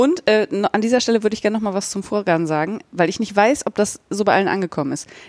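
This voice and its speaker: A woman with an ordinary speaking voice and a medium pitch uses lively intonation in a very clean recording with a silent background. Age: 40s. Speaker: podcast host, yarn dyer. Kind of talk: casual chat.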